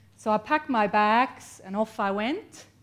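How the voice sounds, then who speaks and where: A woman speaks with a Swiss accent at a fairly high pitch. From Switzerland. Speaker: copywriter and entrepreneur. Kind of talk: motivational talk to an audience. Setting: stage with audience.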